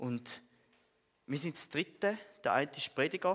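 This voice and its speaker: Speaking at a fairly slow speed, a man talks. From Switzerland, Frauenfeld (Thurgau). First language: Swiss German (speaking German). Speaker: theology student and lay preacher. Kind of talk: sermon. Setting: church.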